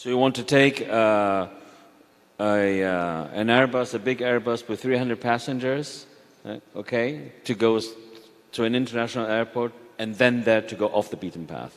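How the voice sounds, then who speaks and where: A man talks at a medium pitch and a moderate pace with ordinary pitch variation. He takes long, frequent pauses. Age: 50s. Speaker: panel moderator. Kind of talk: panel discussion. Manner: halting, many fillers.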